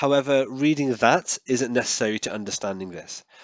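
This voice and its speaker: This man talks at a fairly quick pace. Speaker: comics YouTuber. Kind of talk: tutorial. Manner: fast.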